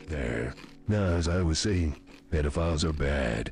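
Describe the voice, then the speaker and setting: A man uses a put-on character voice, raspy and very deep and low in pitch, at a moderate pace. Clear background noise can be heard. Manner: serious, deadpan.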